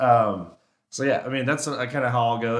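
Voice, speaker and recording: This man's intonation stays fairly even while the room echoes audibly around him. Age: 20s. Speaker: elk hunter and caller. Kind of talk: casual chat. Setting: echoey podcast studio in a warehouse.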